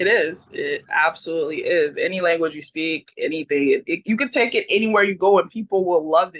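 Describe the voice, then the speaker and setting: Speaking with a Haitian accent, a woman keeps a fairly quick pace. She leaves hardly any pauses. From Haiti, moved to US at age four. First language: Haitian Creole. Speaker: pro wrestler. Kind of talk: interview.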